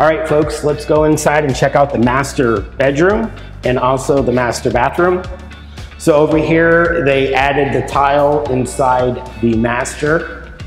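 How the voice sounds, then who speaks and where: With faint music in the background and audible room echo, the speaker goes at a fairly slow pace with very even loudness and ordinary pitch variation. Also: man. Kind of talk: property tour commentary. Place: empty room.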